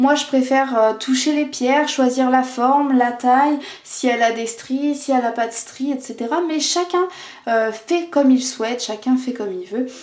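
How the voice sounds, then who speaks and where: There is noticeable background noise as a woman speaks in a high voice at a moderate pace with ordinary pitch variation. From France, Vendée. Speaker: tarot and oracle card reader. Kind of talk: oracle card reading video. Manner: hesitant, many fillers.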